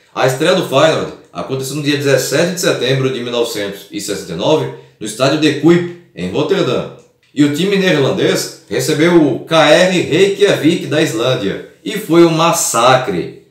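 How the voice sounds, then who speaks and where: Audible room echo surrounds a man who speaks at a very slow pace and a fairly high pitch with lively intonation. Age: 30s. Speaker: football history youtuber. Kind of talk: scripted narration.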